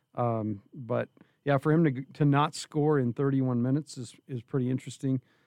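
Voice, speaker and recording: With an unremarkable speaking voice, a man talks at a moderate pace and medium pitch with fairly even intonation, the sound dry and close with no echo. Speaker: radio sports analyst. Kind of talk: casual sports analysis chat.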